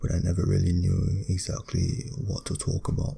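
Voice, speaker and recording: Quiet, somewhat breathy male speech in a British accent, very deep and low in pitch, with a dark, mellow tone, lively intonation and a fairly slow pace. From Britain. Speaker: ASMR creator. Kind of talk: ASMR talk, philosophical musing.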